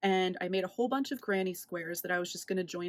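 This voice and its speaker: A woman speaks at a medium pitch with an American accent. She has a plain, everyday voice and ordinary pitch variation. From United States. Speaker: knitting and crochet vlogger. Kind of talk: casual chat. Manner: casual, filler-heavy.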